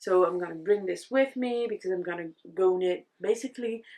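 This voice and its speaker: In a slight French accent, a woman speaks at a moderate pace with ordinary pitch variation. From France. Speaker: knitting content creator. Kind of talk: casual vlog talk. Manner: animated.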